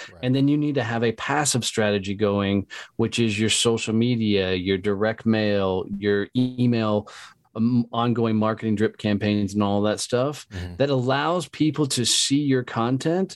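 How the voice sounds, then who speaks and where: This is an unremarkable speaking voice from a man at a medium pitch with ordinary pitch variation. He keeps a moderate pace over a quiet background. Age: 40s. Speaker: entrepreneur and sales trainer. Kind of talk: casual interview.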